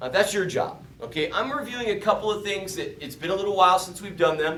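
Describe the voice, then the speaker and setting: Audible room echo and noticeable background noise surround a man whose high pitch, lively intonation and animated tone stand out. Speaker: math teacher. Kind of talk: lecture.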